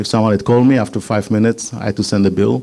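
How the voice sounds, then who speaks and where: A man with an Israeli accent has a dark, mellow tone, a medium pitch and ordinary pitch variation. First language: Hebrew. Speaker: patent attorney, startup consultant. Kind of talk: business presentation. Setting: meetup with live audience.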